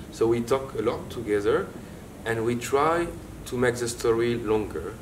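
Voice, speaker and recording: In a French accent, a man speaks at a moderate pace amid audible room echo. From France. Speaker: theatre director. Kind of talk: interview. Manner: halting.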